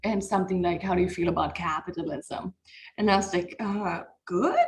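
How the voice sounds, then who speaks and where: The speaker talks at a fairly quick pace with a German accent. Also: woman, medium pitch for a woman, fairly even intonation. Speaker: comedian. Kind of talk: casual chat.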